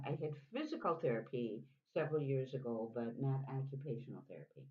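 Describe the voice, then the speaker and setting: A somewhat breathy woman with an American accent at a moderate pace. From US Midwest, Chicago. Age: 70s. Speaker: interviewee. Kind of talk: interview.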